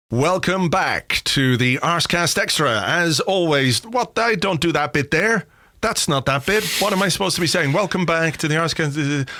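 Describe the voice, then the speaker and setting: The voice has a bright, sharp tone and lively intonation, moving at a moderate pace with very even loudness and hardly any pauses, on a very clean recording with a silent background. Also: man, high pitch for a man. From Ireland, south Dublin (early childhood London and Yorkshire). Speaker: football podcast host. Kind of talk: casual chat.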